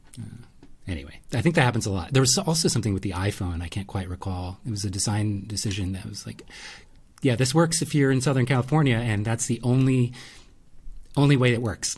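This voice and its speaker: A man's somewhat breathy voice, very fast and lively in intonation, on a very clean recording with a silent background. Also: medium pitch for a man. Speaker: podcast co-host, photographer. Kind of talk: casual chat.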